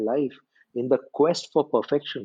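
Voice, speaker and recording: In an Indian accent, a man speaks with a fairly high pitch and a dark, mellow tone. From India, small town. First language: Hindi. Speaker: storytelling coach. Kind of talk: podcast interview.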